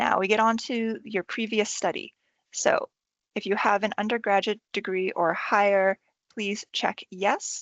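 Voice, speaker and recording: This voice carries an American accent and a fairly slow pace. The intonation stays monotone and flat. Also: woman, medium pitch for a woman. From United States. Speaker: university enrolment advisor. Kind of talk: tutorial. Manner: casual, friendly.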